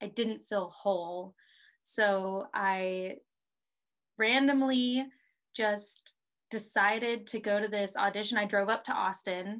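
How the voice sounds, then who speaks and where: A woman speaks at medium pitch with fairly even intonation. The recording is very clean, with a silent background. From Texas (Houston). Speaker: actress and filmmaker. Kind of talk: casual chat.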